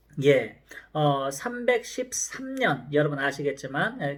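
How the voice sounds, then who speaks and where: A man's fairly high voice makes very wide pitch swings as he talks at a very slow pace. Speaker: professor. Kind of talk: lecture.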